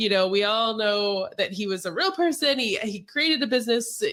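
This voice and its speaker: A woman's fairly high, ordinary speaking voice with lively intonation. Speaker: podcast host. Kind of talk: podcast interview.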